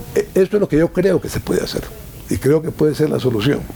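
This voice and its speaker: Noticeable background noise surrounds a man whose fairly high voice carries lively intonation. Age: 70s. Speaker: former ambassador and political commentator. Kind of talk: interview. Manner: hesitant, frequent fillers and repetitions.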